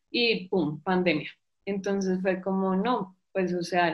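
With music in the background, a woman talks fairly slowly. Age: 20s. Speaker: psychologist and amateur cyclist. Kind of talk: testimony.

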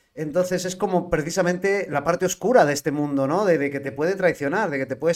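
A man with a fairly high voice speaks at a very fast pace, his pitch varying in an ordinary way. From Spain, L'Hospitalet (Barcelona). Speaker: podcast host and van-life traveller. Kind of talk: casual chat. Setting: live-streamed podcast.

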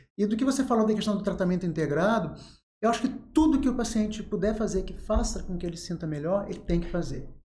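Audible room echo surrounds a man speaking at a high pitch. He talks very fast with lively intonation. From Rio de Janeiro state, Angra dos Reis. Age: 40s. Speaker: psychiatrist. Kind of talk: interview.

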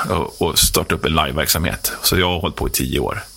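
A man races through his words at a very fast pace against noticeable background noise. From Sweden, Roslagen (Herräng). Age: 40s. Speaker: prison worker and music tour promoter. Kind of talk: radio interview. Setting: radio studio.

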